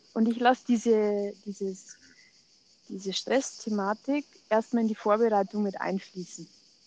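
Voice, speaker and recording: A woman has a plain, everyday voice with a fairly high pitch. She talks at a fairly slow pace with fairly even intonation. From Germany, Munich. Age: 40s. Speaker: ayurveda coach, podcast co-host. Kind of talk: casual chat.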